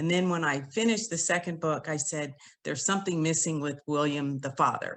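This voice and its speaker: Her pace is moderate. The woman's intonation is fairly even. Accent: West Coast. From San Francisco Bay Area. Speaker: author and attorney. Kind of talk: casual chat.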